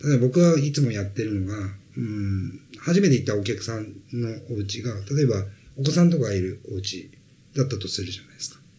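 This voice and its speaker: A man talks at a fairly quick pace and a medium pitch, his voice somewhat breathy with a dark, mellow tone and lively intonation. His loudness swings widely, and audible room echo surrounds him. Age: 40s. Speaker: sales trainer. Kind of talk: interview.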